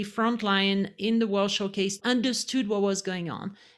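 In a French accent, a woman speaks at a moderate pace and medium pitch with fairly even intonation on a very clean recording with a silent background. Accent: French accent, noticeable. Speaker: former retail leader. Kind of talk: interview.

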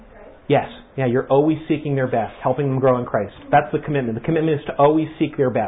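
Against noticeable background noise, a man speaks very fast with fairly even intonation and big swings in loudness. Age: 60s. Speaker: church workshop teacher. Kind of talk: interactive workshop talk. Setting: room with live audience. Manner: conversational, halting.

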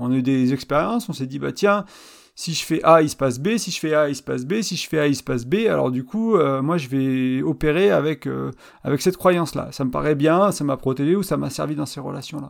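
At a fairly quick pace, this man speaks with ordinary pitch variation. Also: fairly high pitch for a man, very clean recording, silent background. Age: 30s. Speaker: relationship podcast host and blogger. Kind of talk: solo podcast monologue. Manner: hesitant, many fillers and repetitions.

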